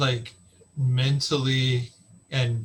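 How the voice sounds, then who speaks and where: A man speaks at a medium pitch with an American accent and a somewhat breathy voice. His intonation stays monotone and flat. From Texas. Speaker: podcast host. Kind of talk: casual chat.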